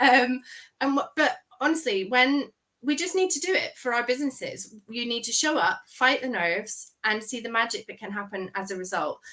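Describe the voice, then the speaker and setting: A woman speaks in a raised, projected voice. Her pitch is high, with lively intonation. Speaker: brand photographer. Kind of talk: podcast interview. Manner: fast.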